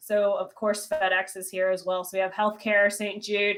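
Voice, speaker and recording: A woman is speaking. She has an American accent. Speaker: commercial real estate professional. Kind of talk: interview.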